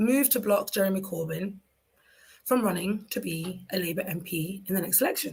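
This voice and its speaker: Somewhat breathy and in a London accent, the speaker talks at a fairly quick pace with ordinary pitch variation. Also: woman, medium pitch for a woman. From London, England. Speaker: talk show host. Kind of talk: solo talk show monologue. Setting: live stream.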